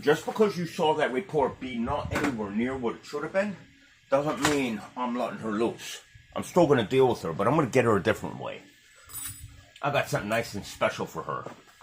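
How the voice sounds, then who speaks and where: Over noticeable background noise, the speaker talks at a fairly quick pace with lively intonation. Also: man, medium pitch for a man. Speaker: home video vlogger. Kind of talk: casual vlog monologue.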